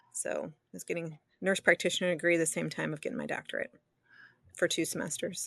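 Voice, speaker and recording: A woman speaks with an American accent at a fairly quick pace. The background is quiet. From US Midwest, southeastern Michigan (Detroit area). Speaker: midwife and nurse practitioner. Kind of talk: interview conversation.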